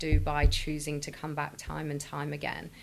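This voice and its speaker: A woman talks at a moderate pace. Her voice has vocal fry. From northwest England, Chester. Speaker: business founder and CEO. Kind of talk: interview.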